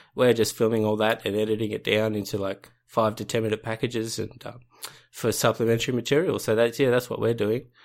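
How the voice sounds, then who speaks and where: A man with an Australian accent talks very fast in a monotone, flat voice. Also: medium pitch for a man. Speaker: listener and instructional video maker. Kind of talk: casual chat. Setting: video call.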